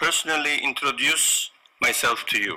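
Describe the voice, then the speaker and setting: A man with a Korean accent at a fairly slow pace. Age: 50s. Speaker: business owner. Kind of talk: corporate presentation. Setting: online conference. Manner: halting.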